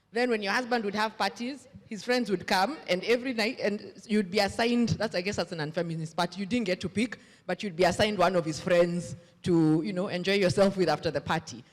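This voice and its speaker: Over noticeable background noise, the speaker talks at a fairly quick pace. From Kenya. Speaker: audience member asking a question. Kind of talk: audience question at panel.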